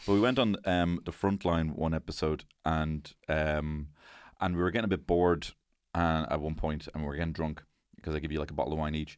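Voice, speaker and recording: Very deep, low male voice with fairly even intonation at a fairly quick pace over a quiet background. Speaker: podcast host. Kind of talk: casual comedic chat.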